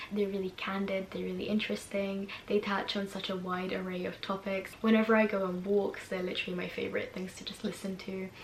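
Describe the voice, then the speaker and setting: Speaking at a fairly quick pace with hardly any pauses, the voice stays monotone and flat, with noticeable background noise and audible room echo. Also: woman, medium pitch for a woman. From Hungary, then England from age 10. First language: Hungarian. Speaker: YouTuber. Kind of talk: casual vlog recommendations.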